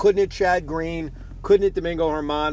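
Amid noticeable background noise, a man with a New York accent talks at a fairly high pitch with fairly even intonation. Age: 30s. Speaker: sports radio host. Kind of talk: casual monologue. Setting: in a car.

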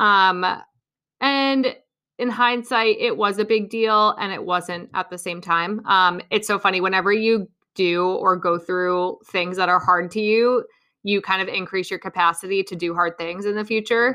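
A woman with a bright, sharp tone speaks at a moderate pace, her intonation fairly even. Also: medium pitch for a woman, quiet background. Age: 20s. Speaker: podcast host, dietitian and personal trainer. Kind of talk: casual solo podcast monologue. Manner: chatty with frequent fillers and laughs.

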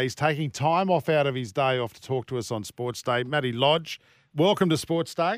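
Recorded very cleanly against a silent background, with a dry, close sound and no echo, a man with an Australian accent and medium pitch talks at a fairly quick pace. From Sydney, Australia. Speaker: sports radio host. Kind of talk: casual chat; scripted ad read.

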